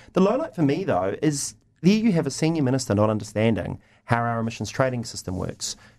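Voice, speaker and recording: A man with a New Zealand accent talks at a fairly quick pace, his pitch swinging very widely. The recording is very clean, with a silent background. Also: medium pitch for a man. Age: 30s. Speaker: lobby group chief executive. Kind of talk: radio panel debate. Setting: radio studio.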